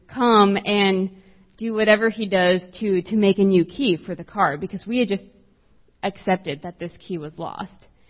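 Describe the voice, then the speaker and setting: Somewhat breathy, a woman with a medium-pitched voice speaks at a moderate pace. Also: big swings in loudness. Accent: American. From South Texas, US-Mexico border. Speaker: campus minister. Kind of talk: sermon. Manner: soft-spoken.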